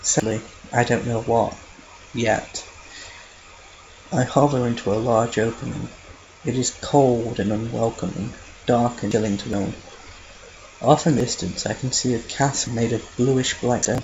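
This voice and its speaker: A man talks at a moderate pace and medium pitch, with fairly even intonation. Long, frequent pauses break his speech, and background noise is noticeable. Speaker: fan fiction reader. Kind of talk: read story narration. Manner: flat, subdued.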